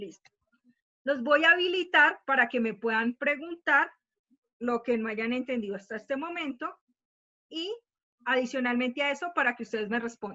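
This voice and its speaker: Pausing often and at length, a woman speaks at a high pitch with lively intonation. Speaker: math teacher. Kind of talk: online class lecture. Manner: fast.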